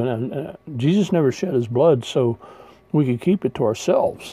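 At a moderate pace, a man with a fairly high pitch uses an ordinary speaking voice and lively intonation. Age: 60s. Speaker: retired pastor. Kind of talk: sermon.

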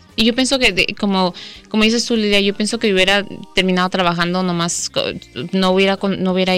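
Speaking at a fairly quick pace, a woman has a medium pitch and a bright, sharp tone. Her intonation is fairly even. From Mexico, Guadalajara; raised in US from early childhood. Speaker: public defense lawyer. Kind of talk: radio interview. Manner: halting, many repetitions and fillers.

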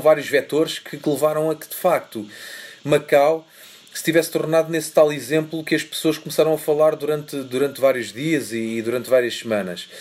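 Speaking at a moderate pace, a man with a fairly high pitch shows ordinary pitch variation and big swings in loudness. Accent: European Portuguese. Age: 40s. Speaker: photojournalist. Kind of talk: interview. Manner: halting.

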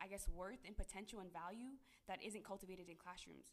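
Speaking at a fairly quick pace, a woman uses an unremarkable speaking voice of medium pitch with an American accent. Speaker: graduate student. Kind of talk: casual chat.

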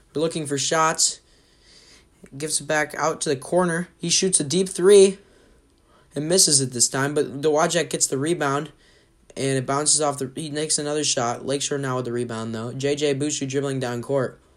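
Here is a man with a normal speaking voice at a fairly high pitch. He keeps his intonation fairly even. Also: moderate pace. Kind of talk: live sports commentary.

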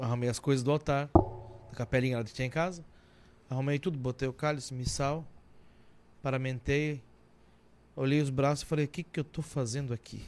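A man moves at a fairly quick pace with fairly even intonation, broken by long, frequent pauses. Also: medium pitch for a man. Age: 30s. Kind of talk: casual chat.

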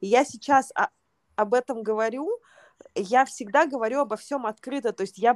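The woman's voice is high-pitched, with ordinary pitch variation. The sound is dry and close, with no echo. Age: 30s. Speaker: yoga teacher and podcast host. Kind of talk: casual chat.

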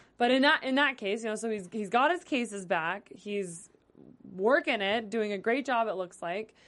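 In a normal speaking voice, the speaker talks at a moderate pace with lively intonation against a quiet background. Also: woman, fairly high pitch for a woman. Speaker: TV after-show host. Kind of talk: casual chat. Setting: studio.

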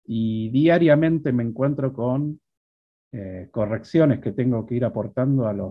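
A normal speaking voice with ordinary pitch variation at a fairly slow pace. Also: man. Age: 50s. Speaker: programming instructor. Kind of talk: interview.

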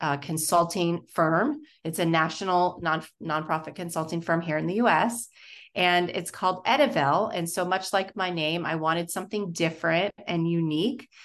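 In a quiet background, a woman with a normal speaking voice talks at a moderate pace, her fairly low pitch showing ordinary variation. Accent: American. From Florida. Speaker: nonprofit consultant, business founder. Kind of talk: casual interview.

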